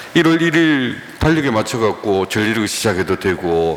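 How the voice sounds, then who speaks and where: A man's pitch swings very widely as he talks at a fairly slow pace, with noticeable background noise in the recording. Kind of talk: lecture.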